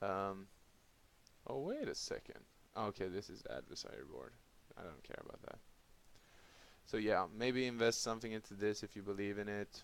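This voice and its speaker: Speaking at a moderate pace with long, frequent pauses, a man with a non-native accent and a fairly low pitch shows ordinary pitch variation and big swings in loudness. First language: not English. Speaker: crypto YouTuber. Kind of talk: casual talk to camera. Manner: halting.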